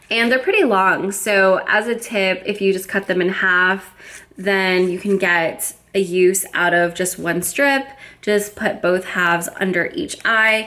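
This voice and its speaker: Speaking at a fairly slow pace with an American accent, a woman uses a medium pitch, ordinary pitch variation, and a bright, sharp, upbeat, enthusiastic tone. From United States, Florida. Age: 20s. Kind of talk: casual makeup review to camera.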